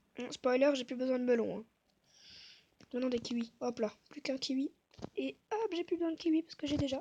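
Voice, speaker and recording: A soft-spoken woman talks at a fairly quick pace in a high voice with a dark, mellow tone. She leaves long, frequent pauses. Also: ordinary pitch variation. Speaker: gaming youtuber. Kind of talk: gameplay commentary.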